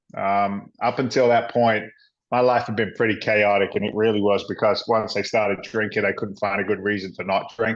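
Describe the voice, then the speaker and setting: Against a quiet background, a man with an English accent talks at a fairly low pitch. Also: fairly quick pace. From England, London. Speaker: former firefighter and real estate investor. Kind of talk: interview storytelling. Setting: podcast recording. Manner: animated.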